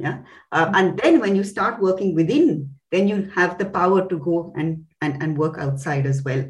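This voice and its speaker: At a moderate pace, a woman talks in a somewhat breathy, fairly low voice with ordinary pitch variation. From India. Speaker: company CEO. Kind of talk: interview. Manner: halting.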